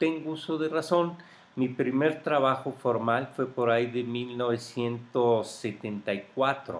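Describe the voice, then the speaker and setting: A man at a medium pitch with ordinary pitch variation, talking at a fairly slow pace. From Mexico, grew up in Mexico City. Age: 50s. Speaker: interviewee recounting life history. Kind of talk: oral history interview. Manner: hesitant, with fillers.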